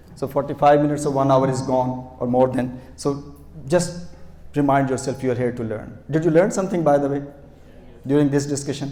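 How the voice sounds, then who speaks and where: Fairly quick male speech with fairly even intonation, audible room echo and noticeable background noise. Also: fairly high pitch for a man. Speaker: lecturer. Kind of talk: interactive lecture. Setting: classroom with audience.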